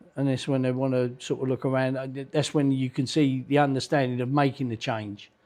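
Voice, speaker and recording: Hardly pausing at all, a man talks in a monotone with flat intonation. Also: medium pitch for a man, fairly quick pace. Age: 60s. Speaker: boxing trainer. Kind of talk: casual interview chat.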